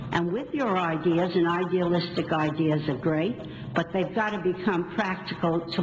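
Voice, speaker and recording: With an American accent, a woman speaks at a moderate pace in a fairly low pitch and fairly even intonation. Room echo is audible, and there is noticeable background noise. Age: 80s+. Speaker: local resident speaking at public meeting. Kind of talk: public comment at school board meeting. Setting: school board meeting.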